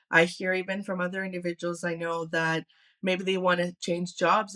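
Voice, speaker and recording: A woman's fairly low, monotone, flat voice in a Greek accent. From Canada (born in Athens, Greece). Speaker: consultant. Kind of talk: casual chat.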